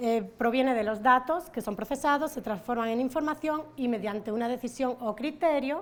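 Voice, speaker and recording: A woman talks at a high pitch with ordinary pitch variation. Her pace is moderate. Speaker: academic conference speaker. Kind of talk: conference presentation. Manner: many fillers and hesitations.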